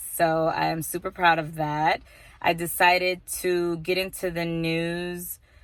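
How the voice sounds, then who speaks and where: A woman's fairly low, monotone, flat voice at a fairly slow pace, on a very clean recording with a silent background. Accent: American. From Texas. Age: 20s. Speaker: vlogger and college student. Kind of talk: casual vlog monologue. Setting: indoors, rain outside.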